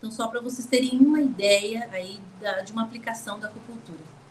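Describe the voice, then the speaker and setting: Here a woman speaks at a moderate pace. Her pitch variation is ordinary. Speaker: lecturer on acupuncture. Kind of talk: lecture. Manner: animated.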